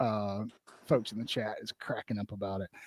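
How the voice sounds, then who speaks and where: A man talks at a moderate pace in a Southern US accent. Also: dry, close sound with no echo. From Alabama. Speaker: podcast host. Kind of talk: interview on live stream. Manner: animated.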